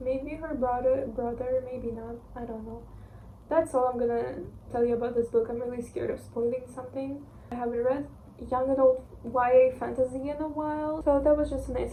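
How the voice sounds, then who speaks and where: A woman with a Russian accent speaks at a moderate pace in a high pitch with monotone, flat intonation, amid noticeable background noise and audible room echo. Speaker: book reviewer. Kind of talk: casual book review vlog. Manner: casual, with fillers and restarts.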